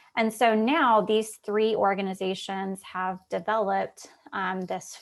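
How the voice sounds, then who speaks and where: The woman has a normal speaking voice at medium pitch. Her intonation stays fairly even. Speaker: policy advocate presenter. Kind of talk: conference presentation.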